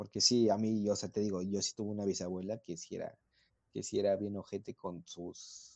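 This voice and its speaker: With monotone, flat intonation, a man talks at a fairly quick pace in a fairly low pitch. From central Mexico. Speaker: podcast co-host. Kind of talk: casual chat.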